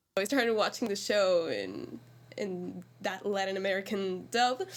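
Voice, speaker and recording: Speaking at a fairly slow pace, a woman with a Spanish accent shows ordinary pitch variation. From Argentina. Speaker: musical theatre actor. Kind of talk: casual chat.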